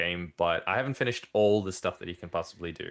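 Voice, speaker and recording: A man speaks with a very deep, low voice. His pitch rises and falls in an ordinary way. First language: not English. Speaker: podcast co-host. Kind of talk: casual chat.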